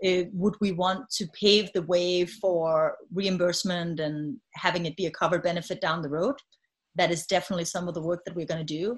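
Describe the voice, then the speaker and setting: Speech in a Danish accent comes at a fairly quick pace with fairly even intonation. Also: woman, fairly low pitch for a woman. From Denmark. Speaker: health tech CEO. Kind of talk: interview. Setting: video call.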